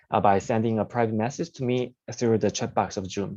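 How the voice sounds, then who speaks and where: A man speaks with a medium pitch and a dark, mellow tone. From South Korea. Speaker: webinar host, dentist. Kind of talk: webinar hosting. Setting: video call. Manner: halting, many fillers.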